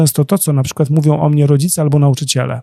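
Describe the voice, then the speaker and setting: Here a man speaks at a fairly high pitch with a dark, mellow, somewhat breathy tone. The sound is dry and close, with no echo. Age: 40s. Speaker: coach, dancer and choreographer. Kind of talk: interview.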